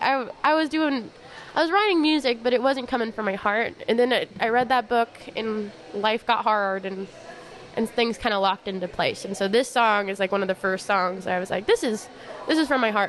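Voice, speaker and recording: With ordinary pitch variation, a plain, everyday voice talks at a fairly brisk clip. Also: woman, fairly high pitch for a woman. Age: 20s. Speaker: songwriter and musician. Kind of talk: casual chat.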